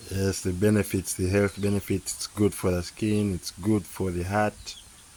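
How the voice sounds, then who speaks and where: At a moderate pace, a man speaks with a fairly low pitch and monotone, flat intonation over noticeable background noise. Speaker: homesteader. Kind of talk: ASMR food talk to camera.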